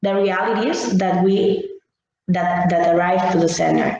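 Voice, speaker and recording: A woman speaks at a medium pitch. Room echo is audible. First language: Catalan or Spanish. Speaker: social educator. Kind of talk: workshop presentation. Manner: halting.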